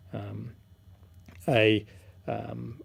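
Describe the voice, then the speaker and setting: Soft-spoken and somewhat breathy, a man talks at a fairly low pitch. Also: very clean recording, silent background. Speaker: telecommunications engineer. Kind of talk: interview answer.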